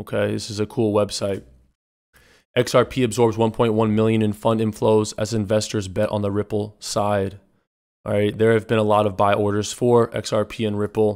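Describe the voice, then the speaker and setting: The voice moves at a moderate pace with a monotone, flat intonation. The recording is very clean with a silent background. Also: man. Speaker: crypto YouTuber. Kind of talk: casual news commentary.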